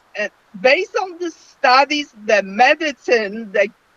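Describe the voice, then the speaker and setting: Very slowly and with lively intonation, a woman with a non-native accent speaks, the sound dry and close with no echo. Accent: foreign. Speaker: myeloma patient. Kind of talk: online panel discussion. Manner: halting.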